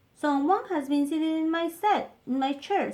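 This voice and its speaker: A woman's squeaky put-on character voice at an extremely high pitch, at a moderate pace. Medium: read story.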